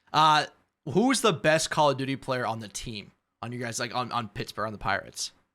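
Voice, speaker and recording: In a very clean recording with a silent background, a man with an American accent talks at a fairly quick pace in a medium pitch, with ordinary pitch variation, big swings in loudness and a bright, sharp tone. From Iowa. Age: 20s. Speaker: podcast host. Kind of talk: casual interview chat.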